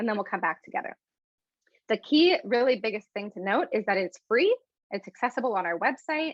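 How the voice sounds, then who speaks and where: Her intonation lively, a woman speaks at a fairly quick pace and a fairly high pitch. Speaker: educator and conference presenter. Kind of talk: online workshop presentation. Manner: fast.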